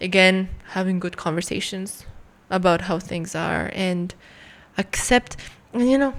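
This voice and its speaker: A woman's plain, everyday voice at medium pitch, with ordinary pitch variation and a moderate pace, on a very clean recording with a silent background. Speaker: guest. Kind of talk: casual chat.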